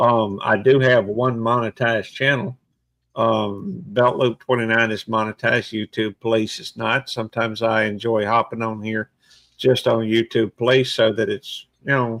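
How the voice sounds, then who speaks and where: Medium-pitched man with an ordinary speaking voice, fairly even intonation, and a moderate pace, in a dry, close sound with no echo. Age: 60s. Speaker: YouTuber and police officer. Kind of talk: casual chat.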